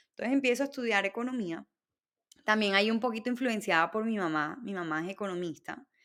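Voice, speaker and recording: Speaking very fast at a fairly high pitch, a woman shows ordinary pitch variation on a very clean recording with a silent background. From Colombia, Barranquilla (Caribbean coast). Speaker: entrepreneur. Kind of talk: interview.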